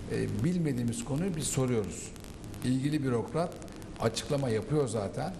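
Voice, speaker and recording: Noticeable background noise runs under the recording. A man talks in a medium pitch with ordinary pitch variation. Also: moderate pace. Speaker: political commentator. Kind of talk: panel discussion. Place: studio. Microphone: lapel.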